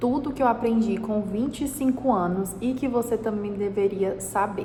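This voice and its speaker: A woman talks with ordinary pitch variation in a room with audible echo and noticeable background noise. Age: 20s. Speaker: entrepreneur and vlogger. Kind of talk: personal advice talk to camera. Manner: casual.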